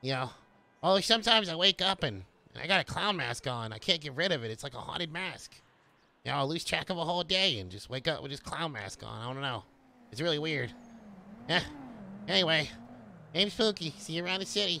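A man puts on a character voice pitched fairly high for a man, racing along at a very fast pace while leaving long, frequent pauses. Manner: rambling, hesitant, oddly cheerful.

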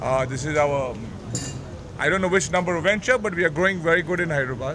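Amid noticeable background noise, a man talks at a very fast pace. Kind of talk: press statement. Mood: upbeat, appreciative. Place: bar. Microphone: handheld.

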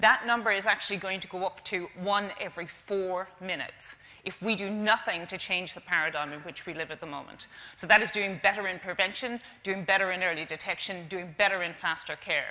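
A woman with an Irish accent, bright and sharp in tone, at a fairly quick pace with fairly even intonation. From Ireland. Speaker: stroke charity representative. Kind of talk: conference presentation. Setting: stage with audience. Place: stage. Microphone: lapel.

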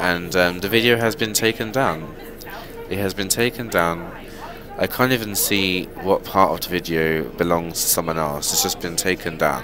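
A man speaks at a moderate pace in a very deep, low voice with ordinary pitch variation, crowd noise in the background. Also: dry sound with no echo. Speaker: vlogger. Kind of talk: casual vlog chat. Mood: annoyed, complaining. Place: bus. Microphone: earbuds.

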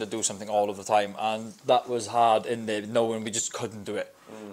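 Here a man talks at a fairly quick pace. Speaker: podcast guest. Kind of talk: interview answer. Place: studio. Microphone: lapel.

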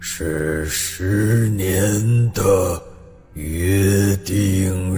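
The pitch variation is ordinary in this natural reading voice.

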